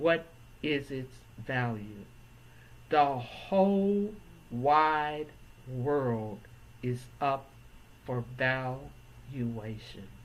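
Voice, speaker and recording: A woman's very deep, low voice at a very slow pace, with lively intonation, long, frequent pauses and audible room echo. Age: 70s. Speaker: real estate appraiser. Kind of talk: educational talk to camera.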